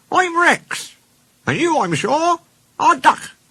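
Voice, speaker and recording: With an extremely high pitch, a man uses a put-on character voice at a fairly slow pace. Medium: read story.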